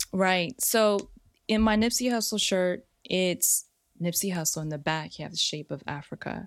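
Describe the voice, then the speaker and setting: An unremarkable speaking voice from a woman with an American accent, medium in pitch, ordinary pitch variation, moderate pace, very clean recording with a silent background. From US, San Francisco Bay Area (Richmond). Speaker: artist. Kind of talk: casual interview chat.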